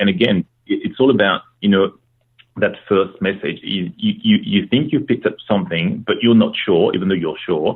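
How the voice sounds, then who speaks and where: A man with a French accent at a moderate pace. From France. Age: 30s. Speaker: former procurement practitioner. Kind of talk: podcast interview. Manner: halting, many fillers.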